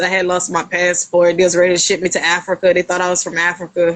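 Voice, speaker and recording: Very fast speech with a Louisiana accent. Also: woman. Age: 30s. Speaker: podcast guest. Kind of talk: casual interview chat.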